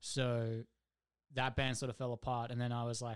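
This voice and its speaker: On a very clean recording with a silent background, a man with an Australian accent speaks at a fairly quick pace in a flat monotone. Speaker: metal band musician. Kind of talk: casual chat.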